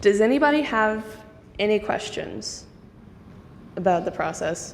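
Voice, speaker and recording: There is audible room echo and noticeable background noise. A woman talks at medium pitch. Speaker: nonprofit staff member. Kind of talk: software tutorial demonstration.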